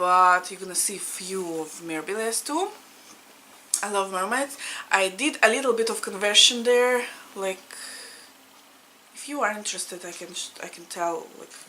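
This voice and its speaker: A woman's medium-pitched voice in a Russian accent, at a moderate pace with ordinary pitch variation, big swings in loudness and long, frequent pauses, over noticeable background noise. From Latvia (Riga), Russian-speaking. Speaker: cross-stitch vlogger. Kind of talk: casual chat. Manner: informal, with hesitations.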